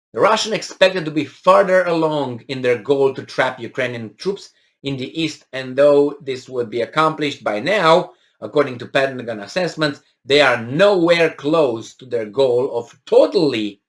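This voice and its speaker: Speaking with a non-native accent, a man uses a fairly high pitch, lively intonation and big swings in loudness. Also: moderate pace. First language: not English. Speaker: political commentator. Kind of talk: news commentary, reading and discussing an article. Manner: hesitant, many fillers and restarts.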